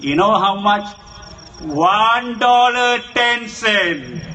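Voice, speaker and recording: A man with a high pitch speaks with lively intonation over noticeable background noise. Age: 60s. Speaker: political speaker. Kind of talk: public speech.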